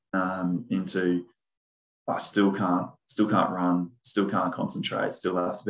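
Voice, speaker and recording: With an Australian accent, a man speaks in a very deep, low pitch and monotone, flat intonation. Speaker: former pro footballer and coach. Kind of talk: casual interview.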